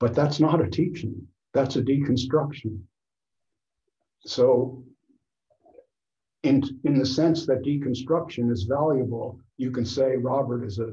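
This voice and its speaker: A man's dark, mellow, somewhat breathy voice at a fairly slow pace, with ordinary pitch variation and audible room echo. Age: 70s. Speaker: author and photographer. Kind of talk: casual discussion.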